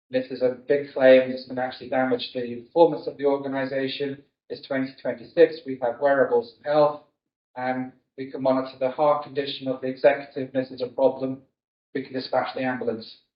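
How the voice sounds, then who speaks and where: A man speaks with a British accent at a fairly quick pace and medium pitch. His intonation is flat and monotone, while his loudness swings widely. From UK. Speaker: insurance technology strategy director. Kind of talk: conference keynote talk. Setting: stage with audience.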